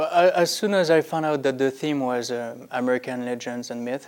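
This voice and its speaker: A man with a French accent at a moderate pace. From France. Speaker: pastry chef. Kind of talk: interview. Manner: halting, with many fillers.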